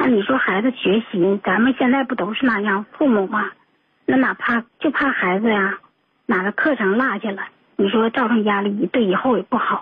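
In a plain, everyday voice, a woman speaks at a moderate pace. Her pitch variation is ordinary. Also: fairly high pitch for a woman. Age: 40s. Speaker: radio call-in listener. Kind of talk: personal story on call-in show. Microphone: too quiet.

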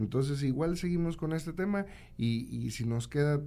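Dark and mellow in tone, a man's voice moves at a moderate pace with ordinary pitch variation. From Santiago, Nuevo León, Mexico. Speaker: radio host. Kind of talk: casual radio talk show.

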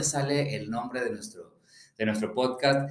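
A man's fairly high voice, an ordinary speaking voice, at a moderate pace with ordinary pitch variation. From Mexico, León, Guanajuato. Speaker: podcast co-host. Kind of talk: casual chat.

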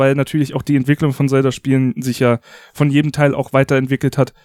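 The recording of a man talking at a very fast pace sounds dry and close with no echo. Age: 30s. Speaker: video game podcast host. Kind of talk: casual chat.

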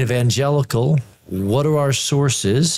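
There is some breathiness in the voice. The intonation rises and falls in a lively way. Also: man. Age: 50s. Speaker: theology professor. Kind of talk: panel discussion.

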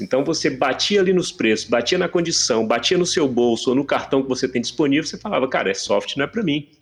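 A man speaks very fast, his intonation lively. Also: hardly any pauses. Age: 40s. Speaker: tech entrepreneur and airsoft player. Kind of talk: casual chat.

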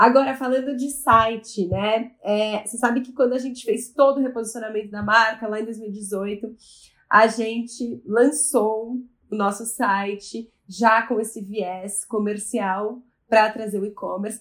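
A woman speaks fairly slowly in an unremarkable speaking voice, her pitch fairly high and her intonation fairly even. Her loudness swings widely, and the very clean recording has a silent background. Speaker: family business executive. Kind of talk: podcast interview.

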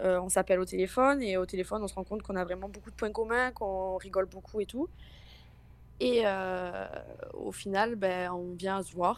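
A woman with a southern French accent at medium pitch and a moderate pace, fairly even intonation, and long, frequent pauses. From Marseille, southern France. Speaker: caller. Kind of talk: testimony.

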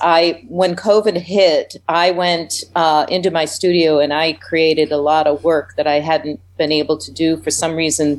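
Moving at a moderate pace, a plain, everyday voice with an American accent keeps a fairly even intonation. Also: woman. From US Midwest, Indiana. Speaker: theater director. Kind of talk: radio interview.

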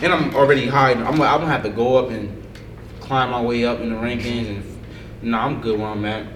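Amid noticeable background noise and audible room echo, a man with an American accent speaks at a fairly quick pace, his medium pitch following fairly even intonation. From New Jersey, Paterson. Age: 20s. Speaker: professional boxer. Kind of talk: casual chat.

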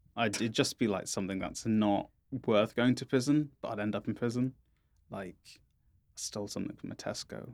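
Using an unremarkable speaking voice, a man talks at a fairly quick pace and a medium pitch, his intonation fairly even but with big swings in loudness. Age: 20s. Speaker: podcast host. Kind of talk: casual chat. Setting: studio.

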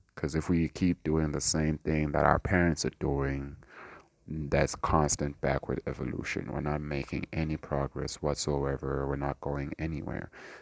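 A man's very deep, low pitch with vocal fry, monotone, flat intonation and a moderate pace, dry and close with no echo in a very clean recording with a silent background. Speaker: podcast host. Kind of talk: solo casual monologue. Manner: rambling, conversational.

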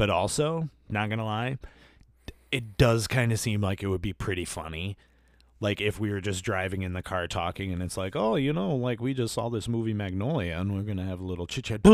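A man has an ordinary speaking voice, pitched fairly low, at a fairly quick pace. The recording is very clean, with a silent background. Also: ordinary pitch variation. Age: 30s. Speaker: podcast co-host. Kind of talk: casual chat.

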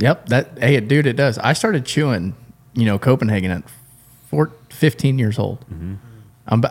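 A man with an American accent uses an ordinary speaking voice at a medium pitch, with lively intonation and a moderate pace. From South Florida (Homestead). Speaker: podcast host at an engine shop. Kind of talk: casual chat.

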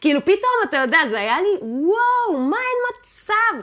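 Over noticeable background noise, a woman speaks at a fairly slow pace in an extremely high voice with very wide pitch swings. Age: 30s. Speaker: jazz and classical pianist. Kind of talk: casual interview chat.

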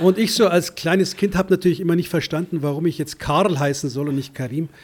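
A man's ordinary speaking voice, fairly high in pitch, at a moderate pace with ordinary pitch variation. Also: very clean recording, silent background. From Germany, Munich. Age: 50s. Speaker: foreign correspondent. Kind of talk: interview.

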